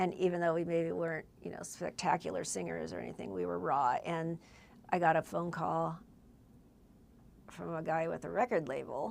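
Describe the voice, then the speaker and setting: A woman speaks with a Californian accent. She leaves long, frequent pauses. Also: moderate pace. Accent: Californian American English. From Southern California, Whittier. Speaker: singer-songwriter. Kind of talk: casual chat.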